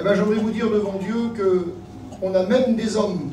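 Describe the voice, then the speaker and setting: A man's lively intonation over noticeable background noise and audible room echo. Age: 60s. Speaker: pastor. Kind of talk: sermon. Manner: halting.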